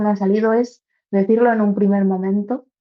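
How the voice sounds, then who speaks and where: A woman uses a plain, everyday voice at a medium pitch, her intonation fairly even. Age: 20s. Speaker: university student with congenital heart disease. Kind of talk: interview answer.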